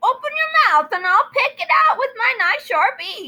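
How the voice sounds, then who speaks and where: A put-on character voice with very wide pitch swings at a moderate pace. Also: female-sounding voice. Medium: read story.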